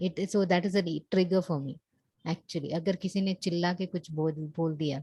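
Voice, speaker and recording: At a moderate pace, a woman speaks in a fairly low pitch with a dark, mellow tone, somewhat breathy and with fairly even intonation, the sound dry and close with no echo. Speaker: coaching client. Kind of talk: one-on-one coaching session. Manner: soft-spoken; halting.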